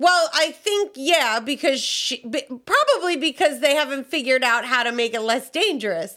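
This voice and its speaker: A woman's raised, projected voice, high in pitch with a bright, sharp tone, carries lively intonation at a moderate pace. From US South. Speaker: podcast co-host. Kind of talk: casual chat.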